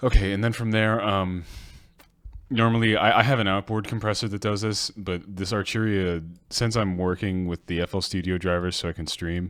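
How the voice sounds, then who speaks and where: Soft-spoken and at a fairly quick pace, a man talks with ordinary pitch variation on a very clean recording with a silent background. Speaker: music producer streamer. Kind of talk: casual livestream tutorial. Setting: livestream.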